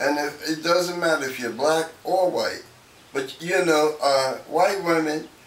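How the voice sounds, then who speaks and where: A fairly high male voice at a fairly slow pace with fairly even intonation and noticeable background noise. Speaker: Vietnam veteran, elder interview guest. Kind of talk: interview answer.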